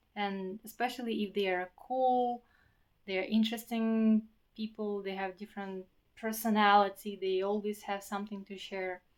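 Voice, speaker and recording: The speaker talks at a moderate pace with monotone, flat intonation in a non-native accent. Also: woman, medium pitch for a woman. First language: not English. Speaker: vlogger. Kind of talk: personal vlog monologue. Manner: halting, with repetitions.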